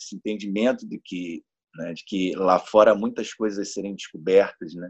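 A man talks in a fairly low pitch. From Niterói, Rio de Janeiro, Brazil. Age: 40s. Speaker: guest on astrology podcast. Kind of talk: casual chat. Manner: halting, repeats words.

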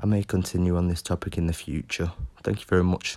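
A man with a British accent and a very deep, low pitch, fairly quick in pace and fairly even in intonation, on a very clean recording with a silent background. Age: 20s. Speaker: podcaster. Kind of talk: scripted monologue.

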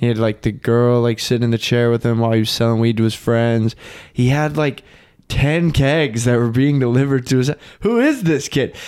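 An ordinary speaking voice at a fairly quick pace, very even in loudness, with fairly even intonation. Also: man, medium pitch for a man. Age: 20s. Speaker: podcast co-host. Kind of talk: casual chat.

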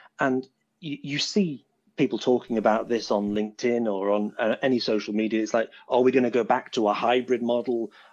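A man with a British accent speaks at a medium pitch and a moderate pace, his intonation fairly even against a quiet background. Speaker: software developer and tech recruiter. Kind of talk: casual interview. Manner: easy to understand.

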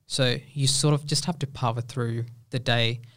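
A man speaks at a medium pitch with fairly even intonation and a somewhat breathy quality in a very clean recording with a silent background. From India. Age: 20s. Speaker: engineering student. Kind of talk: casual interview.

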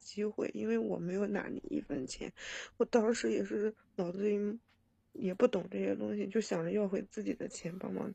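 Moderate pace and a dry, close sound with no echo. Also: woman. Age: 30s. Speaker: caller. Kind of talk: phone-in advice call. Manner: halting.

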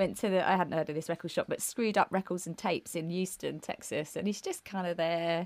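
A woman talks at a very fast pace. She has an English accent. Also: dry, close sound with no echo. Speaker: podcast co-host. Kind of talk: casual chat. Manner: chatty, halting.

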